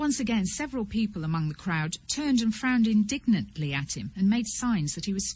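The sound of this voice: Lively intonation from an unforced reading voice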